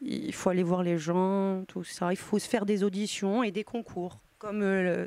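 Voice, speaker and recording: Hardly any pauses break a woman's speech. Her medium-pitched voice has a dark, mellow tone and fairly even intonation. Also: fairly slow pace. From Corsica. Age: young. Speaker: opera singer. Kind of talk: interview. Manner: halting.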